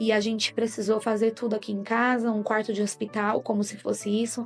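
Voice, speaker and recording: Music plays in the background. The speech has a monotone, flat intonation. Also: woman. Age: 30s. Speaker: mother. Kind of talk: religious testimony.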